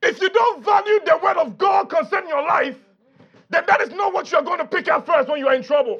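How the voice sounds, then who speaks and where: Animated and very fast, a man speaks at an extremely high pitch with lively intonation. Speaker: pastor. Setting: church with congregation.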